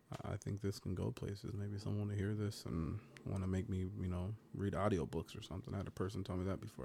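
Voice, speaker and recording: A man with a fairly low pitch and a dark, mellow tone rushes at a very fast pace, with vocal fry. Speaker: podcast host. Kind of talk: casual banter podcast chat. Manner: casual, laid-back, joking.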